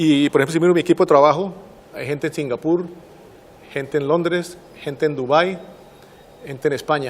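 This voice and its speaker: A man with a Santander Colombian accent, fairly high pitch, fairly even intonation, a fairly quick pace, and long, frequent pauses. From Colombia, Santander. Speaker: systems engineer, distinguished alumnus. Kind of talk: interview. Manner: fast.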